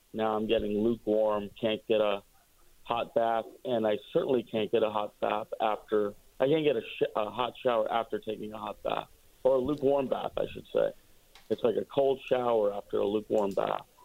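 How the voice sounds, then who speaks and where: This man has a Midwestern American accent and a medium pitch. He talks at a moderate pace with fairly even intonation. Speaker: physician calling in. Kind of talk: casual chat. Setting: phone call.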